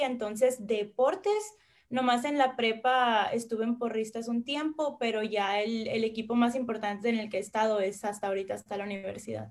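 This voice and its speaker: This is a plain, everyday voice, moving at a moderate pace and showing ordinary pitch variation. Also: woman. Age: 20s. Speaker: university athlete. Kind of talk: interview.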